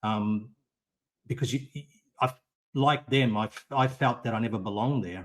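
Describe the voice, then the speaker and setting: The speaker has an Australian accent. Their intonation stays fairly even. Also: man. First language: Italian. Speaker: podcast guest. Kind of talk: interview. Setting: live audio stream. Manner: halting.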